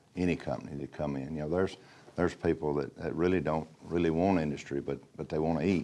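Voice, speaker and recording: A man with an Alabama accent has a very deep, low voice, a dark, mellow tone and ordinary pitch variation. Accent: Southern US (Alabama). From Alabama, US South. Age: 60s. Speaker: local elected official. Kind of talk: interview.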